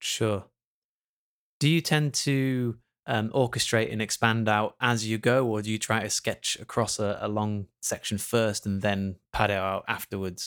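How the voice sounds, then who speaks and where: A man talks at a fairly slow pace with a fairly low pitch and fairly even intonation in a normal speaking voice, recorded very cleanly with a silent background and a dry, close sound with no echo. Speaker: podcast host. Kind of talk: interview.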